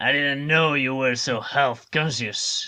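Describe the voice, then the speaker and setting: A man's put-on character voice, raspy and fairly high-pitched, at a fairly slow pace. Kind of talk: noir detective pastiche. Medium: read story. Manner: dry, laconic.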